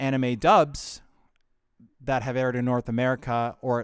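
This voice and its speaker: At a moderate pace, a man with an unremarkable speaking voice talks at medium pitch on a very clean recording with a silent background. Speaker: live streamer and voice actor. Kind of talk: casual live stream talk to camera. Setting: home studio with audio interface and headphones.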